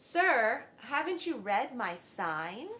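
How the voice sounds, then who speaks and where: Using a put-on character voice, a woman speaks at a high pitch. Her pitch swings very widely. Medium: read story. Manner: firm, businesslike.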